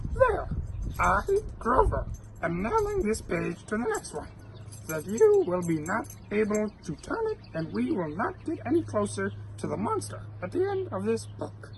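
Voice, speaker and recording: Clear background noise sits behind a man who talks at a moderate pace in a put-on character voice. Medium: read story. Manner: fretful, earnest, formal stilted grammar.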